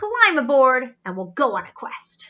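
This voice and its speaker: A female-sounding put-on character voice, pitched high, swings very widely in pitch at a moderate pace. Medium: read story.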